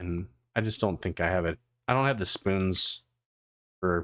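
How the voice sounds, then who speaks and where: In a very clean recording with a silent background, a man can be heard speaking. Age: 40s. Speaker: VTuber streamer. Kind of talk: casual chat. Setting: live stream. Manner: chill.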